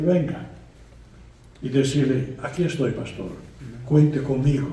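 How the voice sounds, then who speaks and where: Audible room echo surrounds a man with a dark, mellow, somewhat breathy tone. He talks at a fairly slow pace with fairly even intonation. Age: 80s+. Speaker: guest preacher. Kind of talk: sermon. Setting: church.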